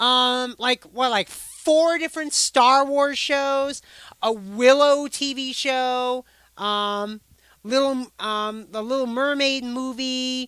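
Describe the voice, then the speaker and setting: A woman speaks loudly at a very slow pace, in a high voice with an American accent. Her intonation stays fairly even. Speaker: live streamer. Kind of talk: casual live stream chat. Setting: live stream on camera.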